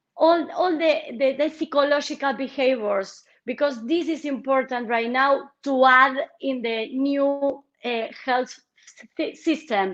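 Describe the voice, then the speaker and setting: The speaker has a Spanish accent and talks at a fairly slow pace with ordinary pitch variation. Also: woman, high pitch for a woman. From Argentina. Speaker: politician. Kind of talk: interview. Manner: halting, with many repetitions.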